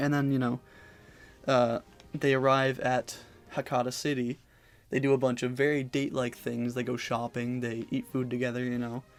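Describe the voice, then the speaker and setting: Moderate in pace but broken by long, frequent pauses, the speech has monotone, flat intonation, with music in the background. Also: man, medium pitch for a man. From Canada. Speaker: podcast host. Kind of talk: casual solo discussion. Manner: casual, many fillers and swears.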